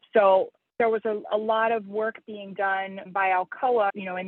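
A woman's medium-pitched voice, a plain, everyday voice, at a moderate pace. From US, Pittsburgh. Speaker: entrepreneur. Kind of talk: interview.

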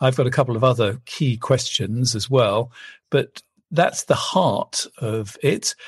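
Somewhat breathy and medium in pitch, a man speaks at a fairly slow pace with an English accent and ordinary pitch variation. The sound is dry and close with no echo, over a quiet background. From England. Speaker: marital therapist and author. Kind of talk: interview conversation.

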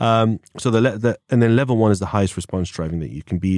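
Very fast speech in an English accent carries a dark, mellow tone and fairly even intonation, recorded very cleanly with a silent background and a dry, close sound with no echo. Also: man. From England. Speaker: former police officer. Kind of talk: casual interview chat. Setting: studio.

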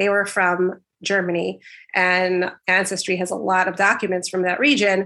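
In a quiet setting, a woman at medium pitch speaks at a moderate pace with a bright, sharp tone and monotone, flat intonation. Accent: American. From New York City (Brooklyn). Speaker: speech language pathologist, genealogy researcher. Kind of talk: interview.

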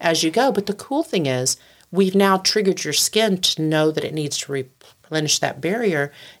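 With an ordinary speaking voice, a woman talks at a moderate pace, her pitch fairly low and her intonation lively. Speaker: company founder and CEO. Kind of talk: casual interview. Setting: studio.

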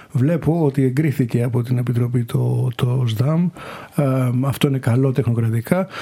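Against noticeable background noise, a man with a medium pitch talks at a moderate pace with ordinary pitch variation and very even loudness. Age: 50s. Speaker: member of European Parliament. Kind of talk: interview. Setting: Brussels.

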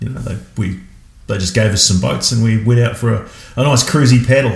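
Against noticeable background noise, a man with an Australian accent talks at a fairly quick pace and medium pitch. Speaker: marathon paddler. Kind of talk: casual chat. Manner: halting.

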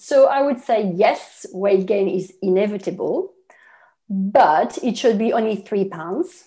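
Delivered at a fairly slow pace in a French accent, the speech has ordinary pitch variation. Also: woman. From France. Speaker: nutritionist. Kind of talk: interview.

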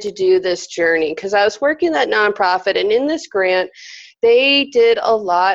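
With an American accent, a woman talks in a plain, everyday voice, fairly high in pitch and with lively intonation. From Arizona, small mining town. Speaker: career coach. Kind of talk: casual interview.

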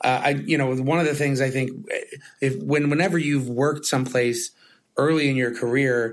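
A man with an ordinary speaking voice talks at a medium pitch and moderate pace, with ordinary pitch variation. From moved to New York as an adult. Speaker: podcast host, head of technology at an agency. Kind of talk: casual chat. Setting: office.

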